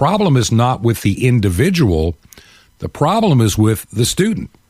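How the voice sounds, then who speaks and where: The voice belongs to a man at medium pitch. He speaks at a moderate pace. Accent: American. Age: 60s. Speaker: talk show host. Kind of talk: talk radio monologue. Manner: animated.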